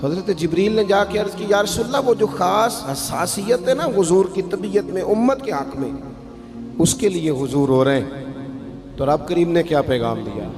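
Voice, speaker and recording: A man speaks at a high pitch with very wide pitch swings over noticeable background noise. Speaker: Islamic preacher. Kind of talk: religious sermon. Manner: emotional, passionate.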